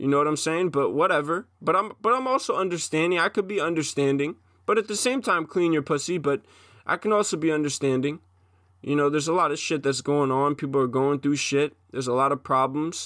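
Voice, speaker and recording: A man's fairly high voice with ordinary pitch variation at a fairly quick pace, on a very clean recording with a silent background. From Long Island, New York. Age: 20s. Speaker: aspiring MMA fighter. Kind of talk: solo monologue. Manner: halting.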